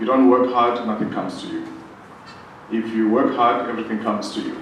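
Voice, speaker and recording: A man talks at a medium pitch in a monotone, flat intonation. Audible room echo and noticeable background noise surround his voice. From South Africa. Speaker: fashion designer. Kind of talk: motivational business talk.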